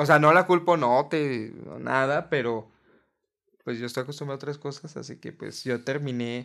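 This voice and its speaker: In a very clean recording with a silent background, a man with a fairly high pitch speaks at a moderate pace, his intonation fairly even and his loudness swinging widely. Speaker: podcast co-host. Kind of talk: casual chat.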